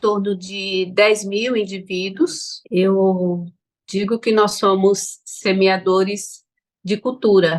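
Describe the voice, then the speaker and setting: Very slow speech from a woman, medium in pitch. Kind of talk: online panel talk.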